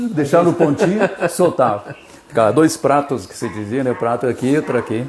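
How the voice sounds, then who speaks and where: A man's fairly quick speech with lively intonation and big swings in loudness, amid noticeable background noise. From southern Brazil, Missões region of Rio Grande do Sul. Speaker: radio presenter. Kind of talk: interview. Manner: casual, conversational.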